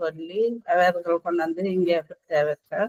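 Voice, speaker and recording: The woman speaks at a medium pitch. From Jaffna, northern Sri Lanka. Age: 40s. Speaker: crafts worker. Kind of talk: testimony.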